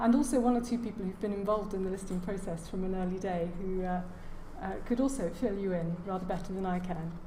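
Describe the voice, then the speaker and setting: A woman talks at a fairly quick pace in a British accent. Audible room echo and noticeable background noise surround her voice. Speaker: heritage lecturer. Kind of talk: lecture. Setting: lecture hall with audience.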